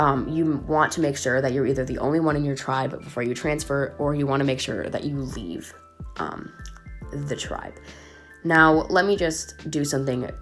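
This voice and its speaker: Speech at a moderate pace with music in the background. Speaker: gaming tutorial YouTuber. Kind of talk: casual game tutorial talk.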